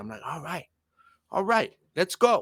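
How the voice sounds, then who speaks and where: An animated man with a bright, sharp tone talks at a moderate pace in a very clean recording with a silent background and a dry, close sound with no echo. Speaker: sports podcast host. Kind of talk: casual sports commentary rant. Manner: loud.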